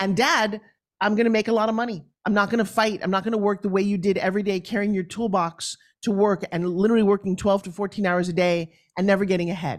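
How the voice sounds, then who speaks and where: A woman talks at a very fast pace in a New York accent. Her tone is animated and her pitch is medium. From New York, Long Island. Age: 60s. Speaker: TV host, fitness entrepreneur and motivational speaker. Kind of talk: interview conversation. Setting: video call.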